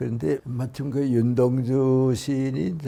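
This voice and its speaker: A man with a dark, mellow tone and ordinary pitch variation. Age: 80s+. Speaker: philosopher, professor. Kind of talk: interview answer.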